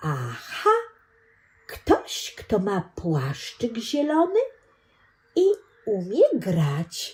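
A woman in a put-on character voice at medium pitch, with a very slow pace and long, frequent pauses. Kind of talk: bedtime story. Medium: read story. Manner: eager, friendly, curious.

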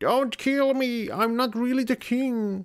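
The pitch sits fairly high in this put-on character voice. Its pace is fairly slow.

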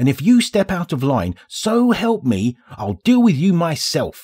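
A man growls in a put-on character voice, high-pitched for a man. He talks at a fairly slow pace with very wide pitch swings. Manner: snarling, menacing.

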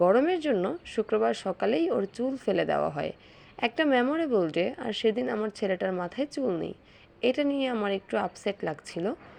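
A woman speaks at a fairly high pitch with very wide pitch swings. The background is quiet. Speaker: vlogger mother. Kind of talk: vlog narration.

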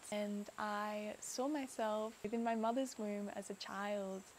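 A woman speaks in a fairly high voice. She has an Australian accent. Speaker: content creator. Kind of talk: personal vlog storytelling.

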